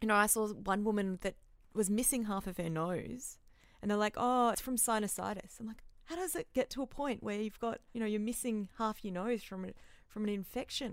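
With an Australian accent, a woman speaks at a fairly quick pace and fairly high pitch, using ordinary pitch variation. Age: 30s. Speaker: therapist and aid worker. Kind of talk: casual interview chat. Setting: warehouse with tin roof.

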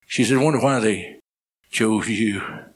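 In a room with audible echo, a man speaks fairly slowly at a fairly low pitch, with ordinary pitch variation. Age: old. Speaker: preacher. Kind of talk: sermon. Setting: church with audience.

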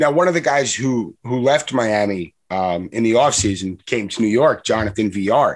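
On a very clean recording with a silent background, a man in an ordinary speaking voice talks at a moderate pace and medium pitch with lively intonation. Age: 30s. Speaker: sports podcast host. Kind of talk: casual chat.

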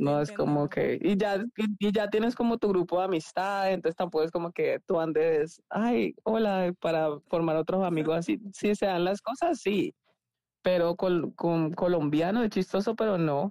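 With a dark, mellow tone at medium pitch, a woman talks at a moderate pace with ordinary pitch variation and very even loudness, the sound dry and close with no echo. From Colombia, Cali. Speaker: former volleyball player. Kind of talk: casual chat.

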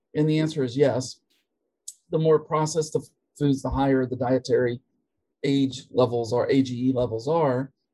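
In an American accent, a dark, mellow, somewhat breathy voice moves at a moderate pace with fairly even intonation. Long pauses come often. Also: man, medium pitch for a man. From US, West Virginia. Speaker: veterinary professor and researcher. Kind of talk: interview.

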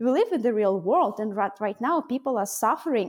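In a Russian accent, a woman speaks at a high pitch on a very clean recording with a silent background. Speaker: mindset coach and program founder. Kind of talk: interview conversation.

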